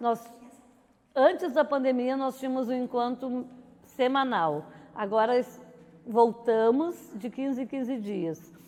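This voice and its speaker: A woman with a southern Brazilian accent at a very slow pace, high in pitch with a dark, mellow tone, ordinary pitch variation and long, frequent pauses. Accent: Rio Grande do Sul (gaúcho) Portuguese. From southern Brazil, Cachoeira do Sul. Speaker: neighborhood resident. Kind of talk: interview testimony.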